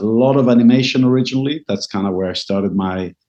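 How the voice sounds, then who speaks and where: A man with an Israeli accent speaks at a fairly quick pace in a medium pitch, his intonation fairly even. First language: Hebrew. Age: 50s. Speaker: composer and media consultant. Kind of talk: interview. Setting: video call.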